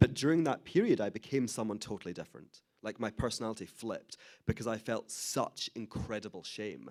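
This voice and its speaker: With a Scottish accent, a man speaks at medium pitch and a moderate pace with lively intonation in a very clean recording with a silent background. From Scotland, Glasgow. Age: 30s. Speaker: author and Holocaust educator. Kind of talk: interview talk.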